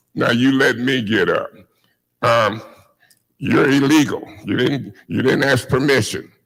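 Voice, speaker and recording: A man with a medium pitch speaks at a fairly slow pace. There is audible room echo. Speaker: city council member. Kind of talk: heated debate. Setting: council chamber meeting. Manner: animated.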